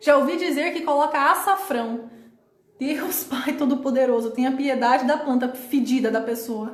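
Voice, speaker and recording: Through audible room echo, a woman with a high pitch speaks in an animated tone at a moderate pace. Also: ordinary pitch variation. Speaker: live stream host answering viewer comments. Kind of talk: live stream chat. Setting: live stream from home with laptop.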